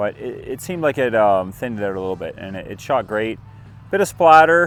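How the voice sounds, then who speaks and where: Over music in the background, a man talks at a fairly quick pace and medium pitch. His pitch swings very widely. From Canada. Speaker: homesteading and how-to youtuber. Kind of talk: casual product review to camera. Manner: hushed; animated.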